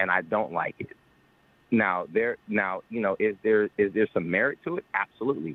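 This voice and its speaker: Pitched fairly low, a man speaks with ordinary pitch variation. His pace is moderate. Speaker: caller. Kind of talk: call-in talk show discussion. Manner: halting, many false starts.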